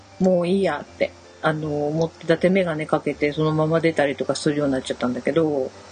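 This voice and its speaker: A woman with a very deep, low pitch talks at a very fast pace with fairly even intonation and big swings in loudness, over noticeable background noise. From Shimane, western Japan. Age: 40s. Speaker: podcast co-host. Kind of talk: casual chat.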